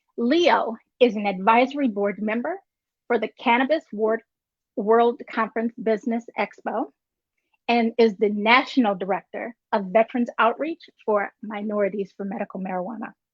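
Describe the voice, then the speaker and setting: A woman with a plain, everyday voice speaks in an American accent. She keeps a moderate pace with ordinary pitch variation. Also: fairly high pitch for a woman. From North Carolina, near Virginia border. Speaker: show host. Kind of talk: reading a guest introduction.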